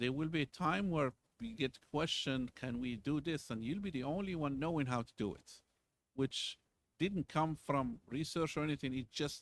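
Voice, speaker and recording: With a non-native accent, a man speaks at a moderate pace in a fairly high pitch with lively intonation, recorded very clean against a silent background with a dry, close sound and no echo. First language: not English. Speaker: university lecturer. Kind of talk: lecture. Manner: casual, conversational.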